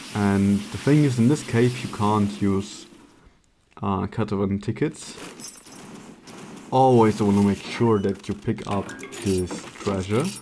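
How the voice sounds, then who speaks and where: With music in the background, a man with a non-native accent and a fairly low voice speaks at a very slow pace, leaving long, frequent pauses. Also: ordinary pitch variation. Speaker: speedrunner. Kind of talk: gameplay commentary.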